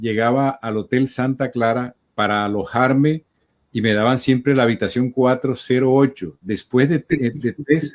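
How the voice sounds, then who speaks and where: Speaking with a Colombian coastal accent, a man keeps a fairly slow pace and fairly even intonation. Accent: Colombian coastal (costeño), drops s sounds. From Colombian Caribbean coast, Cartagena. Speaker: journalist. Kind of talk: interview. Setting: video call.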